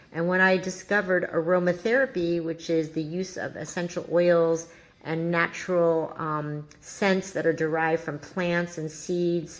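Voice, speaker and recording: A woman with a fairly low pitch speaks in a fairly even intonation, with hardly any pauses, over noticeable background noise. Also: fairly slow pace. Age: 60s. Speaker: entrepreneur, founder of a wellness brand. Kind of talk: podcast interview.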